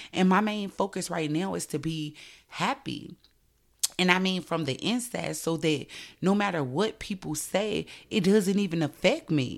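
On a very clean recording with a silent background, a woman with a fairly low pitch speaks at a moderate pace in an animated tone with ordinary pitch variation. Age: 30s. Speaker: podcast host. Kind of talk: solo podcast monologue.

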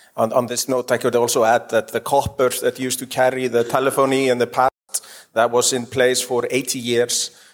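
A man speaks at a fairly quick pace in a medium pitch, his intonation monotone and flat. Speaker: panel moderator. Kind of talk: panel moderation. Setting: stage with audience.

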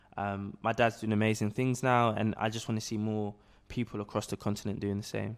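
A man with a London accent talks at a fairly quick pace. His fairly low voice has monotone, flat intonation. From South London (Peckham, Camberwell). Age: 20s. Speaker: entrepreneur. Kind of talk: casual interview. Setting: office.

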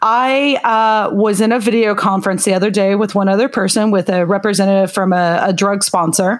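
Using an ordinary speaking voice, a woman with an American accent talks at a fairly quick pace and medium pitch, with fairly even intonation and very even loudness. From Oklahoma. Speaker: podcast co-host. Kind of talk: casual chat.

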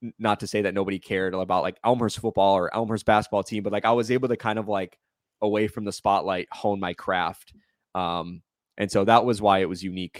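A man with an American accent speaks at a fairly quick pace in a normal speaking voice, his pitch fairly low. The sound is dry and close with no echo, on a very clean recording with a silent background. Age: 30s. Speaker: sports reporter. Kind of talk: casual interview chat. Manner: fast, filler-heavy speech.

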